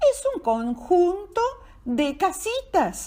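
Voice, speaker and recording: A woman puts on a squeaky character voice at an extremely high pitch with very wide pitch swings. She speaks at a very slow pace. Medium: read story. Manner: patient, explanatory.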